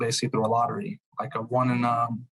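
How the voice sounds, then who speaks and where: A man with a Bosnian accent speaks at a medium pitch and a very fast pace. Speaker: truck sales consultant. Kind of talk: podcast interview answer.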